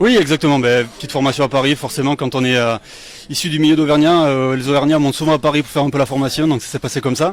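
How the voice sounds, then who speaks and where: The speaker has a southern French accent and talks at a very fast pace. The intonation stays fairly even. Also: man, fairly high pitch for a man. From France, Lozère (southern Massif Central). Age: 30s. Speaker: bar owner. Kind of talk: interview.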